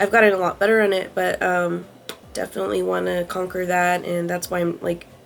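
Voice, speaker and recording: A woman speaks fairly quickly in a fairly low pitch, with noticeable background noise behind her. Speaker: lifestyle vlogger. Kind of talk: casual vlog monologue. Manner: fast; hesitant, many fillers.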